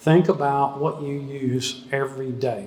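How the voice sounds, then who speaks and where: A man speaks at a fairly high pitch. The recording carries audible room echo and noticeable background noise. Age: 60s. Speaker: economist. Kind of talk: talk with audience Q&A. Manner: casual, hesitant with fillers.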